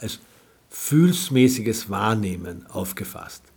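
Somewhat breathy, a man speaks at a medium pitch. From Austria, Carinthia. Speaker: cultural scientist and philosopher. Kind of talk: interview.

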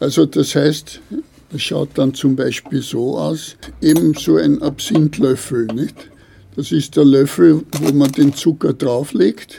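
The voice has a dark, mellow tone with vocal fry. It moves at a very slow pace with ordinary pitch variation. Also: man, fairly high pitch for a man. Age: 70s. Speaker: retired paper ruling craftsman. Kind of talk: interview. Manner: halting.

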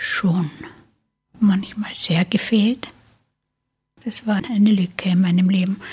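A woman speaks very slowly, with long, frequent pauses. Her voice is somewhat breathy and fairly even in intonation. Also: medium pitch for a woman. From Tyrol, Austria. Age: 80s+. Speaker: interviewee sharing childhood memories. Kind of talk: oral history interview. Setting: studio.

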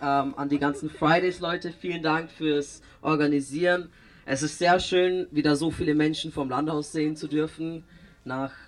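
A man talks with fairly even intonation. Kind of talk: rally speech. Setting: outdoor rally with crowd.

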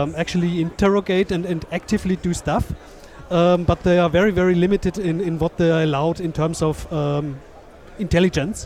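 The intonation stays fairly even while noticeable noise fills the background. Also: man. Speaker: podcast co-host and interviewer. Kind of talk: interview. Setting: live at a conference, noisy hall.

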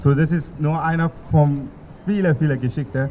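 A man with a Burmese accent speaks in a dark, mellow tone. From Myanmar, Yangon. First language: Burmese (speaking German). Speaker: music student. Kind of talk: speech at protest rally. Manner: halting.

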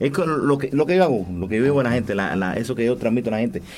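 A man's ordinary speaking voice at a medium pitch, with ordinary pitch variation. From Cuba, Camagüey. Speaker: singer. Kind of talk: radio interview. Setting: studio.

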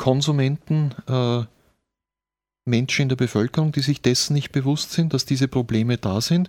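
In a very clean recording with a silent background and a dry, close sound with no echo, a man speaks at medium pitch and a moderate pace with fairly even intonation. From rural Austria. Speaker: author. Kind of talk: interview. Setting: studio.

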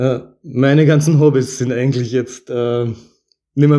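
A man speaks at a moderate pace and medium pitch. His intonation is fairly even and his tone dark and mellow. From Vorarlberg, Austria. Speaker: resident sharing personal story. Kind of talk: personal testimony.

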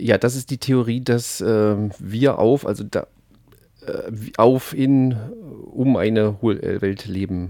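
A man speaks very slowly at a medium pitch, with fairly even intonation, long and frequent pauses, and a dark, mellow tone on a very clean recording with a silent background. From not from the local region. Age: young. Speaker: satirical expert guest on hollow earth. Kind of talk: satirical mock lecture. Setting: radio studio. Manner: halting, many filler sounds.

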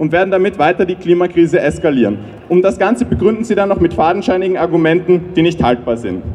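Over noticeable background noise, a man talks in a high pitch with lively intonation. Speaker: climate activist. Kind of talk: rally speech.

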